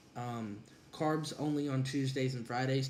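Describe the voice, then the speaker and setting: Audible room echo colors the voice of a man talking at a moderate pace. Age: 20s. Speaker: college student and former wrestler. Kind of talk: vlog monologue. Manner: casual with frequent fillers.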